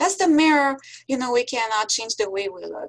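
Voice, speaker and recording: With a French accent, a woman at a high pitch speaks at a moderate pace with very wide pitch swings. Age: 60s. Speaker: professor. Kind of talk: lecture. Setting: video call.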